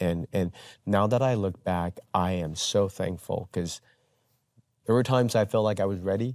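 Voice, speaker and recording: Speaking with a Taiwanese-American accent, a man uses a fairly low pitch, ordinary pitch variation and a moderate pace. The recording is very clean and silent in the background, with a dry, close sound and no echo. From Taiwan, moved to US at twelve. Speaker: pastor. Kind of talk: interview.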